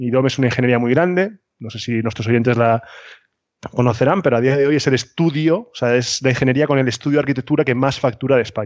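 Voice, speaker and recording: Very fast male speech at a medium pitch, ordinary in its pitch variation. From Spain, Cartagena (Murcia). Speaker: architect, consultancy founder. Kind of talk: interview. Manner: halting, many repetitions.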